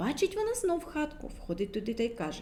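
Fast and slightly mellow, a woman's voice sits fairly high. Her pitch swings widely.

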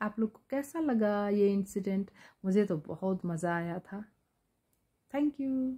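With a dark, mellow tone and a somewhat breathy quality, a woman speaks at a very slow pace, her intonation lively and her loudness swinging widely against a quiet background. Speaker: storyteller vlogger. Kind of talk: casual vlog storytelling. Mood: amused, lively. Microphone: phone near.

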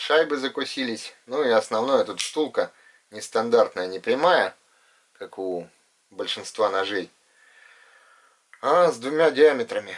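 Speaking fairly slowly, a man is heard with little else in the quiet background. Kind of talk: casual show-and-tell commentary. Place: home room. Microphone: camera far.

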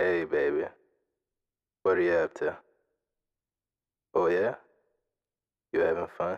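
A man talks at a fairly slow pace with very even loudness, leaving long, frequent pauses. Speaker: ASMR roleplay performer. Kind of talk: ASMR boyfriend roleplay. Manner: soft-spoken, caring.

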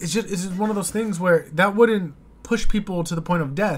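With an American accent, a man is talking. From United States. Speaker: YouTube reaction host. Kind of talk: casual reaction commentary. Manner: hesitant, filler-heavy. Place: home room. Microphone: studio mic.

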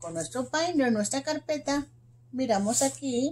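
A woman is speaking. Her pace is very slow. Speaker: teacher. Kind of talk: lesson for young children. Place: classroom. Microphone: phone near.

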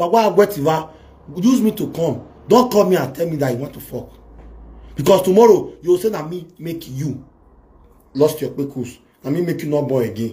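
Here a man speaks in a dark, mellow tone with very wide pitch swings. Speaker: live video host. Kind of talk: animated live-stream rant. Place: home room. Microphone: phone near.

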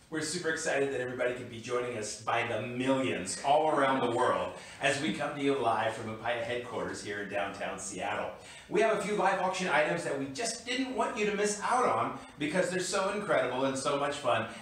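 With audible room echo, a man speaks at a fairly quick pace and a fairly high pitch, making very wide pitch swings and hardly any pauses. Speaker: auctioneer. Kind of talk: upbeat auction promo. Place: office.

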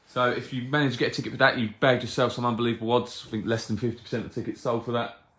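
A man speaks with audible room echo. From UK. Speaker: live-stream competition host. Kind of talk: live stream presenting a prize draw, casual. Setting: live video stream. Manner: friendly, chatty. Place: shop.

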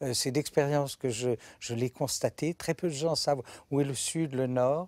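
Against a quiet background, a man talks at a moderate pace with fairly even intonation and a dry sound free of echo. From Monaco, French Riviera. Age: 60s. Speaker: retired archivist and historian. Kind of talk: interview monologue. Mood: calm, reflective, warm. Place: studio. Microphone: lapel.

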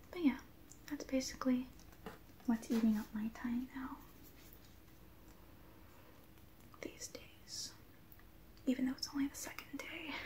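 A soft-spoken woman talks at a high pitch with fairly even intonation. She goes at a fairly slow pace with long, frequent pauses over light background noise. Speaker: vlogger. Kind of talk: casual vlog chat. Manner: quiet, soft-spoken chatty ASMR voice. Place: home room. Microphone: webcam.

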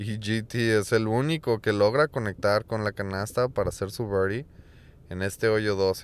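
A man with a fairly low voice speaks at a fairly slow pace with fairly even intonation. It is an unremarkable speaking voice, captured in a very clean recording with a silent background. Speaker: disc golf commentator. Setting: voiceover recorded over replay video. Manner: fluent, explanatory, describing shots and course details.

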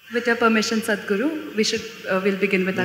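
Light background noise and audible room echo surround a woman's voice. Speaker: student moderator. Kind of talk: moderated Q&A. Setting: stage with audience. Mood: earnest, thoughtful. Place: stage. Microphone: handheld.

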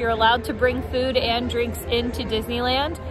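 A woman speaks at a moderate pace, with clear music in the background. The sound is dry, with no echo. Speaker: theme park vlogger. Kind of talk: casual vlog chat. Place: street. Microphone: phone near.

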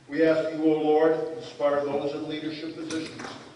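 Audible room echo and light background noise frame the recording. A man speaks at a moderate pace. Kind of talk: prayer / invocation. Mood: solemn, reverent. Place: hall.

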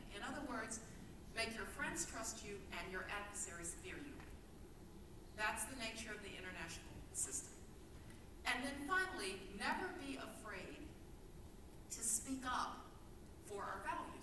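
A woman speaks with long, frequent pauses. Audible room echo and noticeable background noise surround her voice. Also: moderate pace. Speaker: speaker. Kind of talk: keynote speech. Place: hall.

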